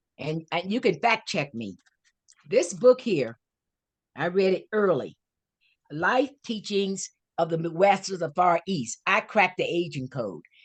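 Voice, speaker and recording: A woman with vocal fry speaks in a lively intonation, leaving long, frequent pauses. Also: medium pitch for a woman, fairly slow pace. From US South, Florida (Fort Pierce). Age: 80s+. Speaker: author and life coach. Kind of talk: interview. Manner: animated.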